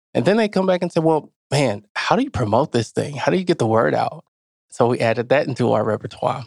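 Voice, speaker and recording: A fairly high-pitched man with vocal fry talks at a very fast pace, his pitch swinging very widely while his loudness stays very even, in a dry, close sound with no echo. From small rural town. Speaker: podcast founder, business owner. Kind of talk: interview, personal storytelling.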